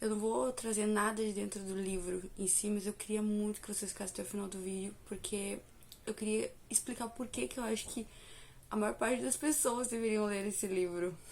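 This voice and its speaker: A woman speaks at a moderate pace with medium pitch and ordinary pitch variation. It is an unremarkable speaking voice. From Brazil. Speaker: book reviewer and devotional youtuber. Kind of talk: casual vlog review.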